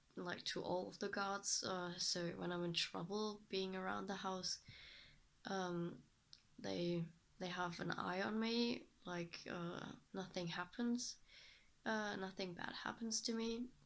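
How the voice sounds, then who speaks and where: A woman's medium-pitched voice with a German accent, very slow pace and ordinary pitch variation. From Germany. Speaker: vlogger. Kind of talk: casual vlog monologue. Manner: halting, many fillers.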